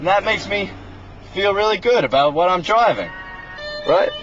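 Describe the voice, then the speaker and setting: Over music in the background, the voice keeps ordinary pitch variation and very even loudness in a dry sound with no echo. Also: man, moderate pace. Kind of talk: casual vlog chat. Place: car. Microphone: phone near.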